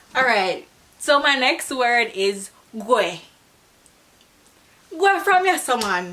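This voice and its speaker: A woman speaks at a very slow pace, her pitch swinging very widely. Noticeable background noise runs under her voice. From Jamaica. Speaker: beauty and lifestyle vlogger. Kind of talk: casual talk to camera.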